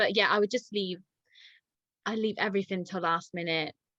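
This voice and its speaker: In an English accent, the voice has a bright, sharp tone and a dry, close sound with no echo. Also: woman. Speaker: dog walker. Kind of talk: casual chat. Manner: halting.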